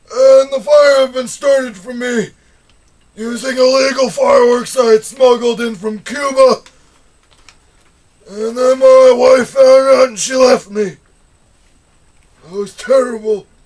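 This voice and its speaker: A man's extremely high-pitched put-on character voice, fairly slow with long, frequent pauses, fairly even intonation and big swings in loudness. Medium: comedy sketch. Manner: loud, agitated, repeating words.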